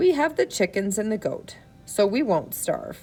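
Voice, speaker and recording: A raspy, put-on character voice moves at a moderate pace. Faint music plays in the background. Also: woman. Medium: read story. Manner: protective, cautious.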